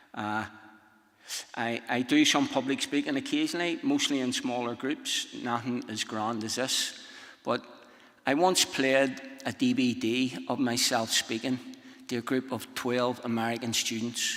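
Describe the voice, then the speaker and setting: In a strong Northern Irish accent, a man speaks at a medium pitch. His intonation is fairly even, and there is noticeable background noise. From Northern Ireland. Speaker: speaker. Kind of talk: conference talk. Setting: stage with audience.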